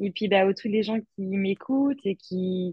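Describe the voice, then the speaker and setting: A woman talks in an ordinary speaking voice at a medium pitch. Her intonation is lively. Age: 20s. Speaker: expatriate. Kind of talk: interview.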